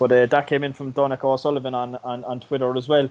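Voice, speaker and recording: Speaking at a fairly quick pace, a man talks with a Cork accent. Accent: Cork Irish. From Ireland. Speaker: podcast host. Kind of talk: casual interview. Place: home room. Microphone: video call.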